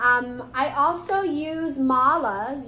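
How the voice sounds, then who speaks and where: Lively intonation and an animated tone mark this woman's speech, heard with audible room echo and noticeable background noise. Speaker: spiritual teacher. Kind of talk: live tutorial. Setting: live video stream.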